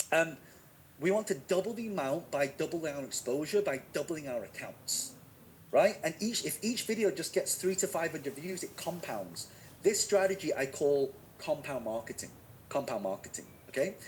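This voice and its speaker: With a Manchester accent, a man speaks at a high pitch with lively intonation. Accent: northern English, Manchester. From northern England, Manchester. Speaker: online marketing teacher. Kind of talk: live webinar teaching. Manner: fast; energetic, engaging.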